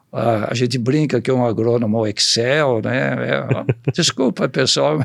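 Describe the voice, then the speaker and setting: A man at a medium pitch speaks with vocal fry. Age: 70s. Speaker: agronomist, seed company veteran. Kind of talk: podcast interview. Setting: studio.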